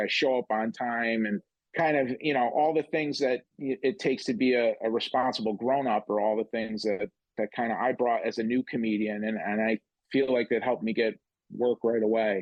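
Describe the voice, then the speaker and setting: At a medium pitch and moderate pace, a man with an American accent speaks in an ordinary speaking voice with ordinary pitch variation. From upstate New York. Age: 50s. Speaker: comedian. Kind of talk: casual chat.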